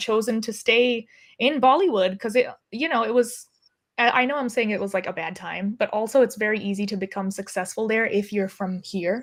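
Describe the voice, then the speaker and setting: With an American accent, a woman speaks in an unremarkable speaking voice at a fairly high pitch. Her pace is moderate, and the recording is very clean with a silent background. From US. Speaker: film and TV director. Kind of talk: interview conversation. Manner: casual, many fillers.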